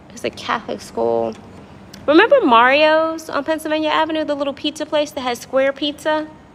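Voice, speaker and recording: Over noticeable background noise, a woman talks at a fairly quick pace. Her high voice has an animated tone. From Washington DC area (Prince George's County). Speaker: livestreamer. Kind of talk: casual livestream chat with viewers. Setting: apartment lobby at night.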